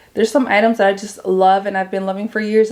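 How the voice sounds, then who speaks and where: Over noticeable background noise, a woman speaks in a medium pitch with an animated tone. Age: 30s. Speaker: beauty youtuber. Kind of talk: product review. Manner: fast.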